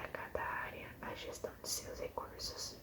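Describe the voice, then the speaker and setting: Whispered words come at a fairly slow pace. Background noise is noticeable throughout. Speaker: ASMR creator. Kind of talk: ASMR reading aloud.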